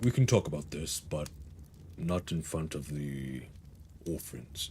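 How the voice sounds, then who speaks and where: A put-on character voice from a man, very deep and low, at a fairly slow pace over clear background noise. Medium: actual play. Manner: measured, terse.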